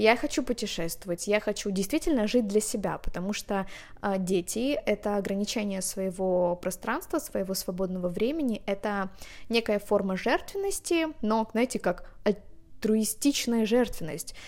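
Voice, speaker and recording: The recording is very clean and the background silent. Her pace, a woman's, is fairly slow. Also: fairly high pitch for a woman, ordinary pitch variation. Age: 20s. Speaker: podcast host. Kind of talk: solo podcast monologue; reading aloud. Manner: animated.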